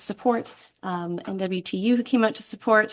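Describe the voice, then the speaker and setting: A woman's medium-pitched voice in a Canadian accent, with ordinary pitch variation against a quiet background. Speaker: parent advisory council chair. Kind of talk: public meeting report. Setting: school board meeting. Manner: fast.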